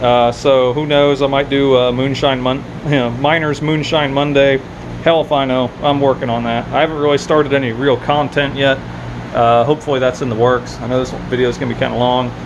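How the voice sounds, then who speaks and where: Against noticeable background noise, a man talks fairly quickly in a flat, monotone way. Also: medium pitch for a man. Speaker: crypto mining youtuber. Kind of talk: casual video update. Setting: home workshop. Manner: loud; casual, halting with fillers.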